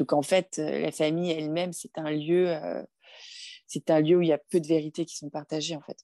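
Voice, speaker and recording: A woman talks at a very deep, low pitch with a dark, mellow tone and flat, monotone intonation. Her moderate pace comes through a dry, close sound with no echo. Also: quiet background. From France. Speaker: film director. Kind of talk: interview conversation.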